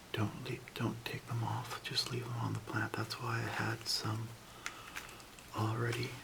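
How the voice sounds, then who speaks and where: Soft-spoken and fairly slow, with monotone, flat intonation, long, frequent pauses and noticeable background noise. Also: man. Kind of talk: ASMR how-to demonstration.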